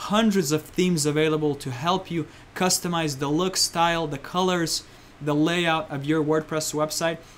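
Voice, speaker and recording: A man with an unremarkable speaking voice talks at a moderate pace, his fairly high pitch carried on fairly even intonation. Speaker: online marketing instructor. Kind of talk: presentation.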